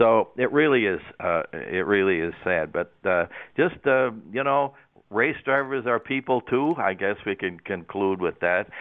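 In a normal speaking voice, a man talks at a fairly slow pace and a medium pitch, with lively intonation. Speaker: motorsports commentator. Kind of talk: casual sports talk on radio. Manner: rambling, repeats words, chatty.

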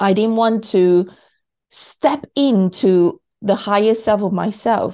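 A woman speaks very slowly in a dark, mellow tone, with ordinary pitch variation, very even loudness and a quiet background. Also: fairly high pitch for a woman. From Malaysia. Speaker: podcast host. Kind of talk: interview.

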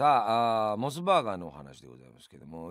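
A man with a fairly low pitch, recorded very cleanly against a silent background. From Yamanashi, Japan. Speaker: radio host. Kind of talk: radio monologue.

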